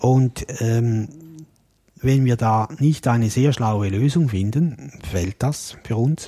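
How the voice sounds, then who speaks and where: A man's dark, mellow, somewhat breathy voice comes at a very slow pace and medium pitch, with very even loudness and ordinary pitch variation. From Switzerland. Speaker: podcast co-host. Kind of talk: casual chat.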